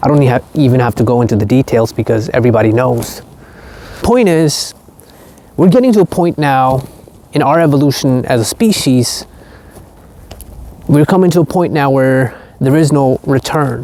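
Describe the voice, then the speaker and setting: Long, frequent pauses over noticeable background noise. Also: moderate pace. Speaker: spiritual content creator. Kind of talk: vlog monologue. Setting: outdoors. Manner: slightly halting.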